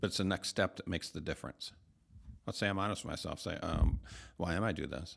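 Speaking very fast with an American accent, a man uses a very deep, low voice with vocal fry. His pitch variation is ordinary. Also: very clean recording, silent background. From US Midwest, Michigan. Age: 50s. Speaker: pastor. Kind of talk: casual chat.

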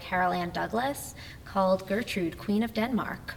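A medium-pitched woman's voice with an American accent, fairly even intonation, and audible room echo. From New Jersey. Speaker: actor and assistant director. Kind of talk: casual interview chat. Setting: recorded in a church hall venue.

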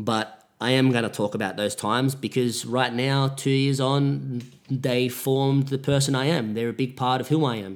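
A man with a medium pitch speaks at a moderate pace with hardly any pauses and fairly even intonation. The recording is very clean, with a silent background. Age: 20s. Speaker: podcaster. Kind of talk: solo monologue podcast. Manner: self-correcting, trying to avoid filler words.

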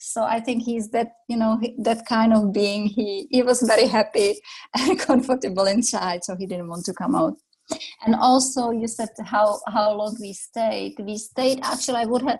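A woman with a Czech accent, fairly high-pitched and somewhat breathy, at a moderate pace with ordinary pitch variation. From Czech Republic. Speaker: yoga teacher. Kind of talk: interview. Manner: calm.

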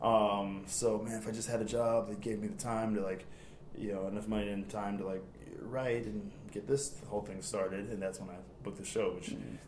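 Speech in an American accent moves at a fairly quick pace with monotone, flat intonation over noticeable background noise. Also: man, fairly low pitch for a man. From Chicago suburbs, Illinois. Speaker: actor. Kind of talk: casual interview chat. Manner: jokey, laughs often.

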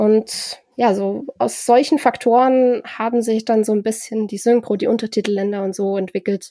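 The speech has hardly any pauses and a moderate pace. Its intonation stays fairly even. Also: woman, fairly high pitch for a woman. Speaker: podcast host. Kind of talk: casual chat. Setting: video call. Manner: nervous when hosting.

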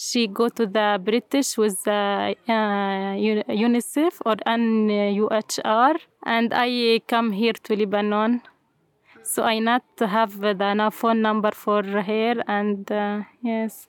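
This woman speaks in an Arabic accent at a fairly high pitch. Her pace is very slow. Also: fairly even intonation, very even loudness. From Syria, Homs. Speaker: refugee, English teacher. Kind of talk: interview. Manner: halting, hesitant English.

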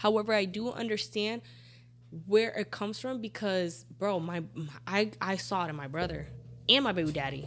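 Using an unremarkable speaking voice, a woman speaks at a moderate pace in a medium pitch with lively intonation. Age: 30s. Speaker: podcast guest. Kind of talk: casual chat.

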